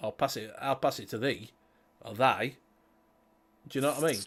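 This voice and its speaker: On a very clean recording with a silent background, a man speaks with a Yorkshire accent. His pace is fairly quick, with ordinary pitch variation. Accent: posh Yorkshire. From Yorkshire, England. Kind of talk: casual, talking with friends.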